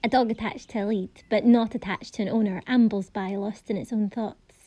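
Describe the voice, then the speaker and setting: With a Scottish accent, a woman talks at a fairly high pitch and a fairly quick pace. Her intonation is monotone and flat against a quiet background. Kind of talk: poetry reading.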